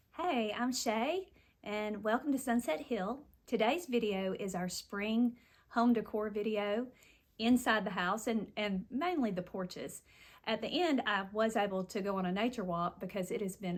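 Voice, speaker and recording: Speaking in a strong Southern US accent, a woman with fairly high pitch and ordinary pitch variation keeps a moderate pace on a very clean recording with a silent background. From US South, Nashville, Tennessee. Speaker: home decor content creator. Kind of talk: home tour narration. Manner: casual, folksy.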